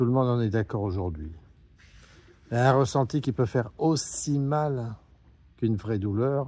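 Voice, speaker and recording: With lively intonation and a dark, mellow tone, a man speaks at a very slow pace and medium pitch. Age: 60s. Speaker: patient association president. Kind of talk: open address to a politician. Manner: hesitant, many fillers.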